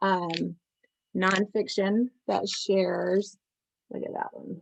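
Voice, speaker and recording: A woman, recorded with a dry, close sound and no echo. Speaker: children's book seller. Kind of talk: product showcase. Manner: animated.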